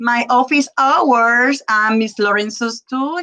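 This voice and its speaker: A woman's fairly high, bright, sharp voice at a very slow pace, dry and close with no echo. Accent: Spanish. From Puerto Rico. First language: Spanish. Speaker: Spanish teacher. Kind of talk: presentation to parents on video call. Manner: halting, many fillers.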